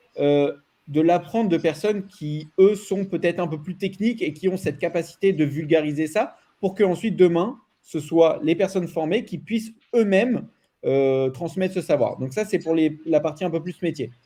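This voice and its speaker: A loud, dark, mellow male voice, high in pitch, with ordinary pitch variation. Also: moderate pace. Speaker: data and AI expert, trainer. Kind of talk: panel discussion. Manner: animated.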